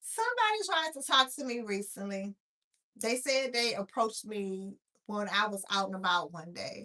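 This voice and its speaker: A woman's fairly high voice at a moderate pace, with big swings in loudness. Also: ordinary pitch variation. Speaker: blind content creator. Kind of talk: live stream monologue. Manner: soft-spoken. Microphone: too quiet.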